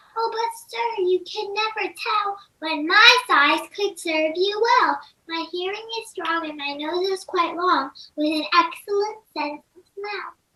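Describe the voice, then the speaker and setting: Using a put-on character voice, a woman squeaks at an extremely high pitch. She talks at a fairly slow pace. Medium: stage play. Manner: polite, earnest.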